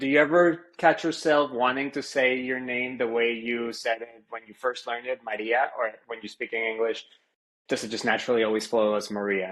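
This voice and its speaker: A man speaks in a plain, everyday voice at a medium pitch. His pace is moderate and his intonation fairly even. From Venezuela, raised in South Florida. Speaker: podcast host. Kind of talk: interview.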